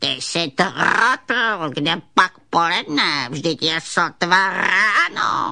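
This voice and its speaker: Growling at a middle pitch, this is a put-on character voice. The growl stays constant throughout. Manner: grumpy, growling, unfriendly.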